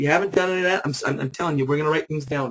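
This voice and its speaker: A man speaks with ordinary pitch variation. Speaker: business opportunity presenter. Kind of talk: sales pitch. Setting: webinar. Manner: fast; animated.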